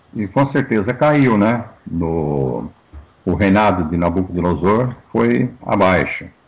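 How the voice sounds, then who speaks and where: A man speaks very slowly in a very deep, low voice with very wide pitch swings, over noticeable background noise. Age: 60s. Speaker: pastor and interview host. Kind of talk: interview talk.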